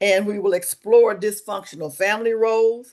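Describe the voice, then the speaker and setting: A woman in a Southern US accent at a moderate pace, against a quiet background. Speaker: webinar host, social service coordinator. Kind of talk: webinar presentation. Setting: online webinar.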